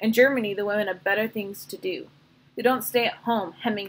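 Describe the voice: Fairly even intonation in plain reading aloud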